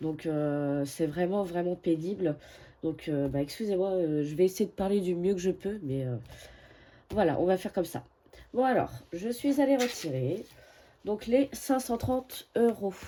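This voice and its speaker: A woman's medium-pitched voice, dark and mellow, with very wide pitch swings and long, frequent pauses on a very clean recording with a silent background. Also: fairly slow pace. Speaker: budgeting vlogger. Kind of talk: casual vlog. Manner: hesitant, many fillers.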